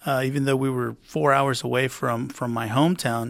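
A man with a South Texas accent speaks at a medium pitch with fairly even intonation, recorded very cleanly against a silent background. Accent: South Texas American. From Rio Grande Valley, Texas (McAllen). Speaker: city councilman. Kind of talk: interview. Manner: halting, many fillers and repetitions.

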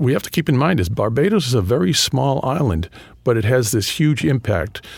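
A somewhat breathy man talks at a moderate pace. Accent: New England. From New England (Boston area). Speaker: history professor and author. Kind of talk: interview. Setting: studio.

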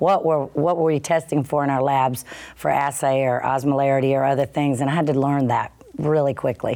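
In a Southern US accent, a woman speaks fairly quickly with a very deep, low pitch, a dark, mellow tone and monotone, flat intonation. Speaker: company CEO. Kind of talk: radio interview.

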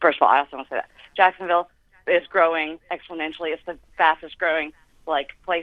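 A woman with an American accent talks at a very fast pace in a fairly low pitch. Her intonation is monotone and flat, with big swings in loudness. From Los Angeles, Southern California. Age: 20s. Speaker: caller. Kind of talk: call-in radio. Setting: phone call.

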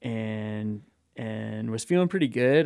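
This man has a plain, everyday voice, medium in pitch, and speaks at a moderate pace in an American accent. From Colorado, US. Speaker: mountain runner. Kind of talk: interview.

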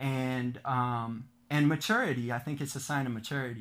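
With an American accent, a man speaks at a fairly slow pace in a very clean recording with a silent background. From US Midwest, Rockford, Illinois. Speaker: middle school teacher and rapper. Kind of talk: interview conversation. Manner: hesitant, many fillers.

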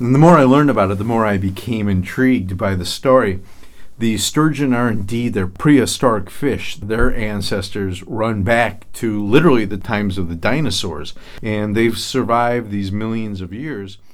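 In an American accent, a man speaks at a fairly low pitch with audible room echo. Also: ordinary pitch variation, moderate pace. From lower Michigan. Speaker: tourism bureau president. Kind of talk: interview.

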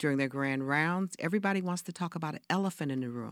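A woman's very deep, low voice with an American accent and ordinary pitch variation, on a very clean recording with a silent background. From US South, rural Georgia. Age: 70s. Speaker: reverend and community health advocate. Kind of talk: interview conversation.

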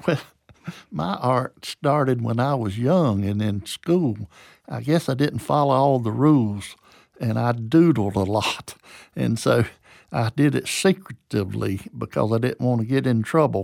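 A man with a Southern US accent, lively intonation and a fairly slow pace. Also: medium pitch for a man, very clean recording, silent background. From US South, Georgia. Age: 70s. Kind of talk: interview, personal storytelling. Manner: informal, halting with repeated words.

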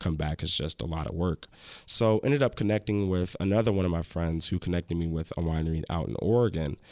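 In an American accent, a man talks at a fairly quick pace in a very deep, low pitch. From Chicago and Northwest Indiana. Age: 20s. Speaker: podcast and TV pilot host, wine professional. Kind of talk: casual interview conversation. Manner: halting, frequent fillers and restarts.

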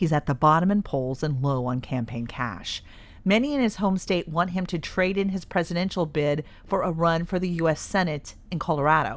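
In a very clean recording with a silent background, a woman with a plain, everyday voice speaks at a fairly low pitch with lively intonation. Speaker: radio news anchor. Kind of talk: news reading. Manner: formal, even, steady newsreading pace.

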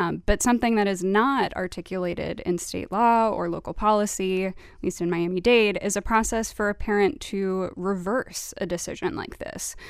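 With hardly any pauses, a woman talks in a plain, everyday voice at a medium pitch and moderate pace, with ordinary pitch variation. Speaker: education reporter. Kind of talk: radio panel discussion. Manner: measured, some filler words.

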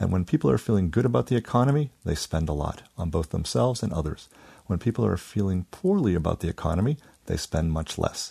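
A man's very deep, low voice with a dark, mellow tone, vocal fry, very wide pitch swings and a very fast pace. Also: quiet background. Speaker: economics researcher. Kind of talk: radio interview.

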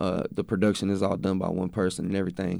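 A man with an American accent, in a very clean recording with a silent background. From Texas. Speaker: hip-hop artist. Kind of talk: casual interview. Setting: radio studio. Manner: casual, repeats words.

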